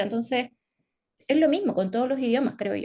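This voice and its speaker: A woman talks with a Chilean accent. Her intonation is lively. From northern Chile, Antofagasta. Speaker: psychologist. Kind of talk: interview.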